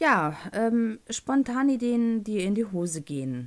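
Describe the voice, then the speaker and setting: Over a very clean recording with a silent background, the voice moves through very wide pitch swings. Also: woman. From North Rhine-Westphalia, Germany. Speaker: podcast host. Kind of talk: casual solo podcast monologue.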